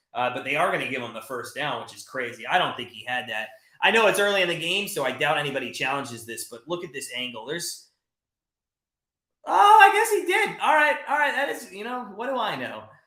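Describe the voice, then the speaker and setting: Projected and raised, a man's high-pitched voice carries a bright, sharp tone, swinging very widely in pitch at a fairly quick pace. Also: big swings in loudness. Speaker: sports betting channel host. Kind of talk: live play-by-play commentary on a watch party stream. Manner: fast; animated.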